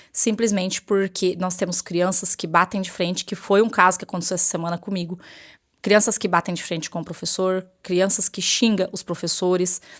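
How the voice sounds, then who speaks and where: This is a very clean recording with a silent background. The voice stays monotone, its intonation flat. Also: woman, medium pitch for a woman. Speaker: teacher and vlogger. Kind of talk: personal vlog monologue. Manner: fast.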